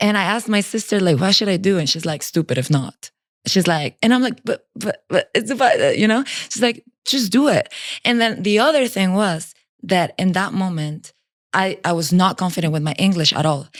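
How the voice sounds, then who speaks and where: Speaking with a Spanish accent, a woman talks at a fairly quick pace. Her pitch is medium and her intonation lively. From Mexico. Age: 20s. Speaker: indoor cycling master instructor. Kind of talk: casual chat. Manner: animated.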